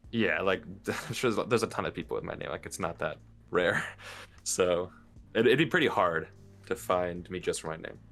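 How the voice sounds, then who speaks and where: Music plays in the background as a man with an American accent talks at a fairly quick pace. He takes long, frequent pauses. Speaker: Minecraft YouTuber. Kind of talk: casual interview.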